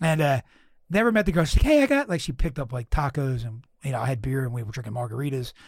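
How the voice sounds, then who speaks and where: On a very clean recording with a silent background, a man with an American accent speaks very fast at a medium pitch, somewhat breathy and with lively intonation. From Philadelphia, US East Coast. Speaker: podcast host, comedian. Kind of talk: casual chat, podcast interview. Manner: casual, rambling, profane.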